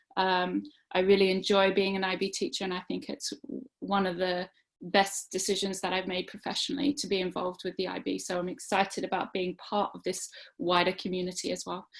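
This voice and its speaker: Woman at a medium pitch, with vocal fry. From Australia. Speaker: teacher and webinar presenter. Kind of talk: online webinar presentation. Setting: online webinar. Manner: hesitant, many fillers.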